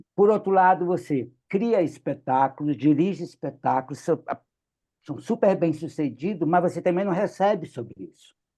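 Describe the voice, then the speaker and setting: A man speaks in a high pitch with ordinary pitch variation. His loudness swings widely. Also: moderate pace. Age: 60s. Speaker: clown and theatre director. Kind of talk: meeting discussion. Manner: animated.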